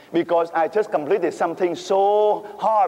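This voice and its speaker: Fairly slow speech with a Vietnamese accent, set against noticeable background noise. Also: man. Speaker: priest. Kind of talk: sermon. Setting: church. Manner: halting; animated.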